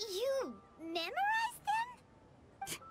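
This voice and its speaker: A woman uses a put-on character voice, squeaky and extremely high in pitch. Her pitch swings very widely, with light background noise behind her. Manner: surprised.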